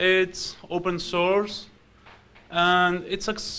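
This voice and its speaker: A man speaks with an Argentine accent at a high pitch. His tone is bright and sharp. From Argentina. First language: Spanish. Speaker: software developer and security researcher. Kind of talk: conference talk. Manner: hesitant, many fillers.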